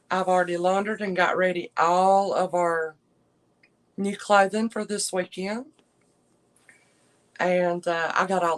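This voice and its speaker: Speaking at a fairly slow pace with long, frequent pauses, a woman with a Southern US accent uses a medium pitch. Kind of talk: casual livestream chat. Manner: soft-spoken.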